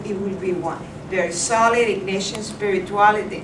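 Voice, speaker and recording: A woman's medium-pitched voice in monotone, flat intonation at a moderate pace, with audible room echo and noticeable background noise. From Cuba, Havana. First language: Spanish. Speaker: vocation director. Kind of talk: speech at reception.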